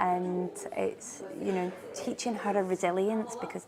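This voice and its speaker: A woman with a Scottish accent, plus noticeable background noise. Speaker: marketing company CEO. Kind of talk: interview answer.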